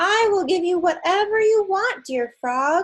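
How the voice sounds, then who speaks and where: A woman puts on a squeaky character voice, extremely high in pitch, with lively intonation. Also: moderate pace. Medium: read story.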